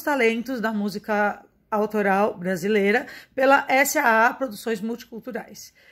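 Against a quiet background, a woman talks at a fairly slow pace in a fairly high pitch with ordinary pitch variation. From Brazil, São Paulo. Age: 30s. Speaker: marketing and media professional. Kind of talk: self-presentation video. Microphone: phone near.

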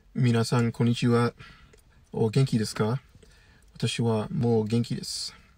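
With an English accent, a man speaks at a fairly slow pace with long, frequent pauses, his dark, mellow tone somewhat breathy, his pitch variation ordinary, and the sound dry with no echo. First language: English (speaking Japanese). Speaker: YouTuber and language learner; YouTuber. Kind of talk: monologue. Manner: halting. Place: car. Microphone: phone near.

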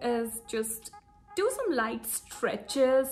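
A woman talks while faint music sounds in the background. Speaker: lifestyle vlogger. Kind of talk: casual vlog chat. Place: home room. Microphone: phone near.

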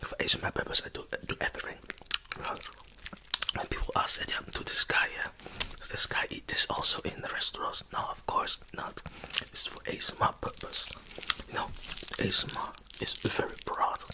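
A man whispers at a moderate pace. He leaves long, frequent pauses. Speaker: ASMR YouTuber. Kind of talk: ASMR chat. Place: home room. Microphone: studio mic.

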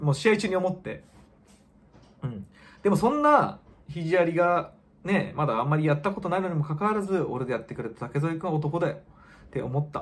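A man talks at a fairly quick pace in a high pitch. Long pauses come often. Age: 40s. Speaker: kickboxer. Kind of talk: casual vlog monologue. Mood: reflective, subdued after defeat. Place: home room.

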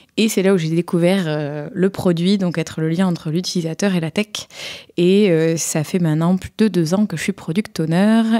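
Recorded dry and close with no echo against a silent background, the very clean clip has a woman speaking at a moderate pace in a fairly low voice with a dark, mellow tone and fairly even intonation. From southern France, Montpellier. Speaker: tech product person and conference speaker. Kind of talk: casual chat. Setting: around a table with other panelists.

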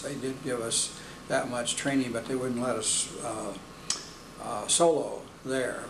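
Over noticeable background noise, a man talks at a fairly slow pace in a monotone, flat intonation. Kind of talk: interview answer. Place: meeting room.

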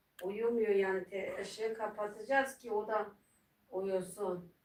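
A woman talks very slowly, her medium pitch held in fairly even intonation. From Malatya, eastern Turkey. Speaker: YouTuber. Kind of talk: casual chat. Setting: home livestream.

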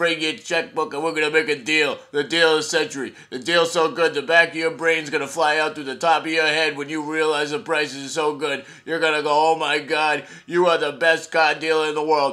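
Delivered at a fairly quick pace with hardly any pauses, this is a cartoonish character voice. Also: man, fairly high pitch for a man. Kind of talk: comic overacting, hard-sell TV ad pitch. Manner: pushy, boastful, rapid, excited.

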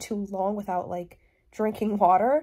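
Hoarse and with a dark, mellow tone, a woman talks at a fairly quick pace. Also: quiet background. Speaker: vlogger. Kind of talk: casual vlog chat. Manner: slightly hoarse, congested sick voice. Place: home room. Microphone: phone near.

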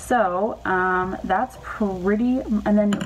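Noticeable background noise is present while a woman talks, her pitch varying in an ordinary way. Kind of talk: casual explainer vlog. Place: home room. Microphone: phone near.

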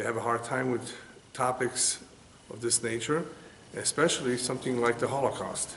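Light background noise behind a man's voice. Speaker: religious teacher. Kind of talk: lecture. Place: home room.

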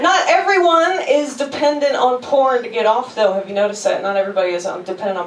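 Speaking at a fast pace with few pauses, a woman shows ordinary pitch variation amid audible room echo.

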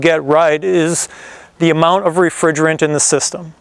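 A man at a moderate pace, the sound dry with no echo. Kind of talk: explainer tutorial. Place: garden.

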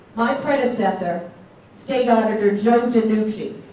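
A woman speaks at a moderate pace with ordinary pitch variation, with audible room echo and light background noise. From New England. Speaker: elected state official. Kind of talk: political speech. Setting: stage with audience, microphone. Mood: earnest, tribute tone. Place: hall.

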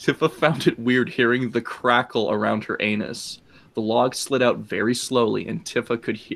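Fairly even intonation in a natural reading voice

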